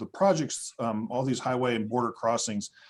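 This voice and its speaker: Speaking in a West Texas accent, a man uses a medium pitch with ordinary pitch variation. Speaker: conference moderator. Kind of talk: conference moderation. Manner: hesitant, many fillers.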